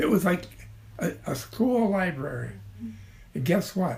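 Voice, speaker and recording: A man talks with a Midwestern American accent and vocal fry. His pace is fairly slow and his intonation lively. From Ottawa, Illinois. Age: 80s+. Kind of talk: interview answer.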